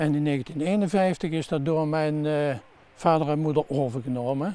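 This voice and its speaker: At a moderate pace, the speaker talks in a dark, mellow tone. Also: man. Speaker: son of a former innkeeper, local resident. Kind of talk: interview recollection. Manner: halting.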